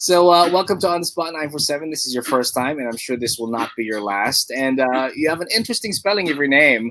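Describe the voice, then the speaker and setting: Speaking at a fairly quick pace, a man with a Filipino accent uses a fairly high pitch. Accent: Filipino accent, praised by guest. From Philippines. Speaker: radio host. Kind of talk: radio interview. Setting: radio studio, live broadcast.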